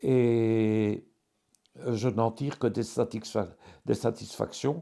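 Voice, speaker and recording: Medium in pitch, a man speaks at a very slow pace with fairly even intonation. His tone is dark and mellow. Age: 70s. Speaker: care home resident with tremor. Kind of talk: testimony. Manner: halting, many hesitations.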